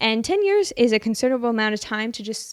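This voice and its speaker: The recording is very clean and the background silent. A woman talks with a non-native accent. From Canada. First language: not English. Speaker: podcast host. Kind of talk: casual solo podcast monologue.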